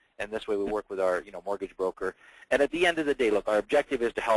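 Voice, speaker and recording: A man with ordinary pitch variation, dry and close with no echo. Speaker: real estate agent and radio host. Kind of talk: webinar presentation. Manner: fast.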